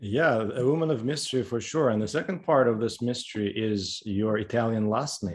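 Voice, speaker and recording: A man in a plain, everyday voice talks at a fairly quick pace and medium pitch, with lively intonation and hardly any pauses. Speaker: podcast host. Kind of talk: interview conversation.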